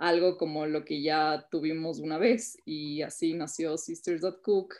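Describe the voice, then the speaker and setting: A woman with a normal speaking voice keeps her intonation fairly even and her pitch fairly low. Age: 20s. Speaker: entrepreneur. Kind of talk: interview.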